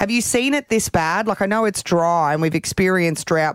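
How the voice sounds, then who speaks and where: A woman talks with an Australian accent. Her pitch varies in an ordinary way. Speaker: radio host. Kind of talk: casual radio banter.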